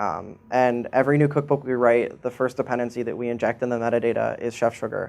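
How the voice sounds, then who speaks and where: Fairly quick in pace, a man talks at a medium pitch with fairly even intonation. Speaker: software engineer giving a conference talk. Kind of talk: conference talk. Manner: monotone; many filler words.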